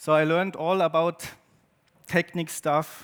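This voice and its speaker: A man with a German accent talks at a fairly slow pace in a fairly high voice. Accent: German-speaking accent in English. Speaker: photographer and artist. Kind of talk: presentation to an audience. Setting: stage with audience. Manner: halting, with many fillers.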